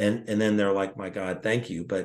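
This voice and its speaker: This man has an ordinary speaking voice with a fairly low pitch. His pace is moderate. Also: quiet background. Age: 60s. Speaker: retired foot surgeon and network marketer. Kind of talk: casual chat.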